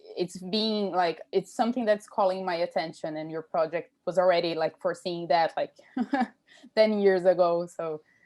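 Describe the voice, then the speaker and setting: With a Brazilian accent, a woman speaks at a fairly low pitch and a moderate pace with fairly even intonation. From Brazil, São Paulo. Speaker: PhD student. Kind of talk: academic Q&A comment. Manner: halting.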